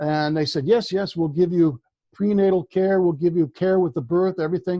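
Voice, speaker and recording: The voice has a dark, mellow tone, captured with a dry, close sound and no echo in a very clean recording against a silent background. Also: man. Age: 60s. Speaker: author on Vedic culture. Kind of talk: interview. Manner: halting, with many fillers.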